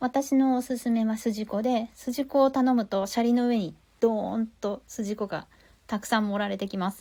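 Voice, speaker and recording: Moderate pace with a somewhat breathy, dark and mellow tone. Pitch varies in an ordinary way over a very clean recording with a silent background. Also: woman. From Tokyo, Japan. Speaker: podcast host. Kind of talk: casual podcast review talk.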